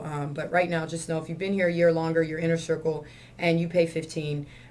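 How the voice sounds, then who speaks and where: With audible room echo, a woman speaks at a very fast pace in a fairly low, monotone, flat voice. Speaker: gym owner and CrossFit coach. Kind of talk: video announcements to gym members. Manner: casual, with fillers.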